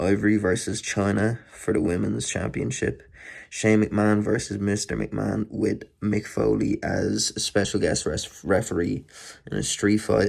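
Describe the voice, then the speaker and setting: A man with an Irish accent speaks at a fairly slow pace. The recording is very clean, with a silent background. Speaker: wrestling DVD collector vlogger. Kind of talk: casual unboxing monologue. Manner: rambling, with many fillers.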